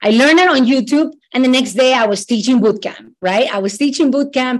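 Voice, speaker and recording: A woman with a high pitch speaks in a Latin American accent. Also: very even loudness. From Ecuador. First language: Spanish. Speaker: immigration lawyer. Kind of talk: casual interview chat. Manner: enthusiastic, friendly.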